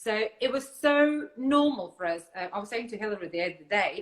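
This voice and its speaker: Pitched at a medium level, a woman speaks with lively intonation. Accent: Russian. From Lithuania (born in Siberia). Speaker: barbecue food business owner. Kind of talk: interview on live stream. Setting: live video stream.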